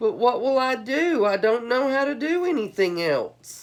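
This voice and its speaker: A woman puts on a character voice, pitched high with very wide swings. She keeps a moderate pace. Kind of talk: bedtime story. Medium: read story. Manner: theatrical, hammy.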